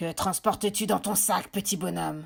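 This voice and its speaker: A woman's gruff put-on character voice at a medium pitch and moderate pace, on a very clean recording with a silent background. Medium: read story. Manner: menacing.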